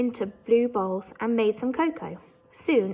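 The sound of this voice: Reading in an unforced reading voice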